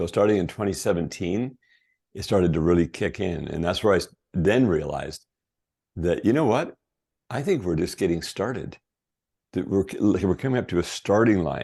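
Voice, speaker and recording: A man with a very deep, low pitch and a dark, mellow tone speaks at a moderate pace with lively intonation. He leaves long, frequent pauses over a quiet background. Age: 60s. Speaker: company CEO and health interviewee. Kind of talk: interview, personal health story.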